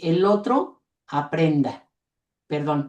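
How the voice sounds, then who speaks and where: Here a woman speaks very slowly with a fairly low voice. Her tone is dark and mellow. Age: 80s+. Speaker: teacher. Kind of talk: audience comment in webinar.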